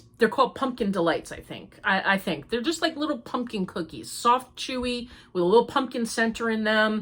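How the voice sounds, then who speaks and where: At a moderate pace, a woman speaks in a fairly high voice. Her pitch varies in an ordinary way. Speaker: crochet podcaster. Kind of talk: casual chat. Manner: chatty.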